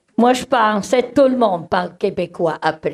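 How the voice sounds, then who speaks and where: Speaking in a Swiss German accent, a woman takes a fairly slow pace. Her pitch varies in an ordinary way. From German-speaking Switzerland. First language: Swiss German (speaking French). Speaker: community organization director. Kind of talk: conference presentation. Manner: hesitant, many fillers.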